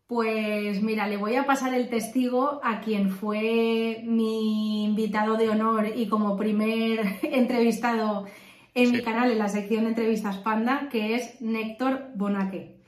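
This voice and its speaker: In a room with audible echo and noticeable background noise, a woman speaks fairly slowly at a fairly high pitch, in a monotone, flat intonation. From Valencia, Spain. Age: 30s. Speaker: real estate investor. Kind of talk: interview.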